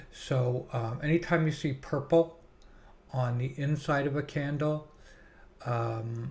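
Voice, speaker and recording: At a very slow pace, a man speaks with a fairly high pitch, fairly even intonation, a somewhat breathy sound and long, frequent pauses. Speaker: stock trader and trading-room host. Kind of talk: trading tutorial. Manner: casual with many fillers.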